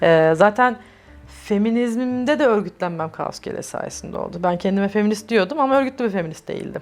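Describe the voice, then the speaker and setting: Lively intonation runs through a woman's a plain, everyday voice. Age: 30s. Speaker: LGBTI+ activist. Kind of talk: oral history interview answer.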